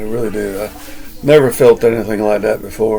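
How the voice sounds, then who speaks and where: A man speaks with a Southern US accent. Noticeable background noise sits behind him. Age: 60s. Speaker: vlogger. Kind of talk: casual monologue. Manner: halting.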